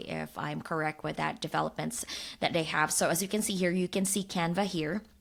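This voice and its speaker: A woman with a non-native accent speaks at a fairly low pitch with vocal fry, on a very clean recording with a silent background. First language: not English. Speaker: design tool educator, YouTuber. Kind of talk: software tutorial. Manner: casual, with frequent fillers.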